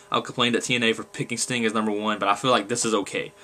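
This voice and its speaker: A man is speaking, with clearly audible noise in the background. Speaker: wrestling fan vlogger. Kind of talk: casual monologue. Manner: fast, gets ahead of himself; halting.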